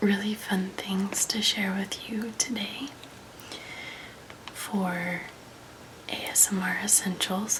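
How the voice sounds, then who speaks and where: A soft-spoken woman at medium pitch with a calm tone, a very slow pace, monotone, flat intonation and long, frequent pauses, over noticeable background noise. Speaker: ASMR creator. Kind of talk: ASMR relaxation talk. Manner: soft-spoken, calm, friendly.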